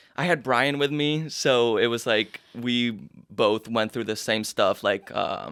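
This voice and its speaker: Speaking very slowly, a man with a slight Argentine accent talks at a medium pitch with ordinary pitch variation. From Argentina, Buenos Aires. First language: Spanish. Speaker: musical theatre actor. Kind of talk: interview.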